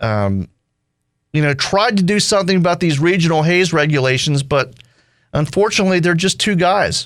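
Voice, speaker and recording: A man with a high pitch is heard on a very clean recording with a silent background. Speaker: talk radio host. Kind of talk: talk radio conversation.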